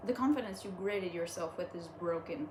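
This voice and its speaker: A woman's medium-pitched voice with lively intonation at a moderate pace, amid noticeable background noise and audible room echo. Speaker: online content creator reading stories. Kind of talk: casual reading aloud with commentary. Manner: halting, stumbling over words; animated.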